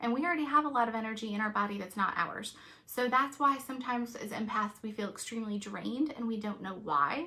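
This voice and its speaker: Through noticeable background noise, a woman races along at a very fast pace with hardly any pauses, her fairly high-pitched voice animated in tone with lively intonation. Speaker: reiki master and energy healer. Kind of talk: live stream talk.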